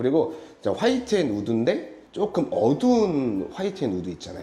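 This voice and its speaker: The man's pitch is fairly high, with very wide swings, and he talks at a fairly quick pace. Noticeable background noise runs underneath. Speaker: interior design company head giving site tour. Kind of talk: site walkthrough presentation. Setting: on location at a hair salon.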